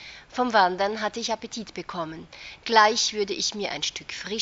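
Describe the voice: What you hear is plain reading aloud.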